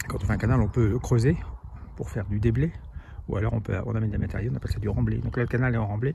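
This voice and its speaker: A man talks very fast at a fairly low pitch, with ordinary pitch variation and long, frequent pauses. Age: 60s. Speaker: cycling vlogger. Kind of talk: vlog narration while cycling. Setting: outdoors on a bike. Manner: casual, hesitant with fillers.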